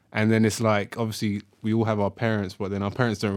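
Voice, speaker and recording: A man with a fairly low pitch speaks at a very fast pace in a monotone, flat manner on a very clean recording with a silent background. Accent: London. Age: 20s. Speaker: podcast co-host. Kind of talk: casual chat.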